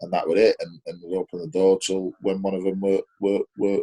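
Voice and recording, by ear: At a fairly quick pace, a man speaks at low pitch in a dark, mellow tone with little pitch movement.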